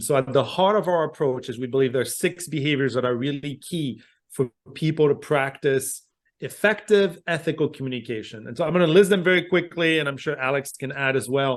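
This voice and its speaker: Speech in a French accent with ordinary pitch variation. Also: man. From France. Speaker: communication professor. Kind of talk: podcast interview.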